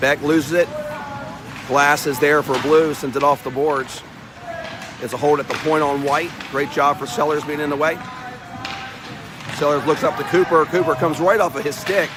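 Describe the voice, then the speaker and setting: A man with a fairly high pitch speaks at a moderate pace, with fairly even intonation and long, frequent pauses. Noticeable background noise can be heard. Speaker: amateur hockey play-by-play commentator. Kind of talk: live commentary. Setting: ice hockey arena.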